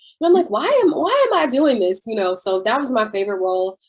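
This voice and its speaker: A woman's animated, fairly quick delivery in a Southern US accent, with lively intonation. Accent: proper-sounding Southern (self-described). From US South (Middle Georgia). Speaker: singer and actress. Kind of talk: interview. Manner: casual, animated.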